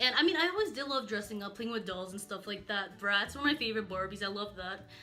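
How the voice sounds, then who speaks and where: Amid noticeable background noise and audible room echo, a woman at medium pitch talks very fast in an animated tone with ordinary pitch variation. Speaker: YouTuber. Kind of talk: casual chat.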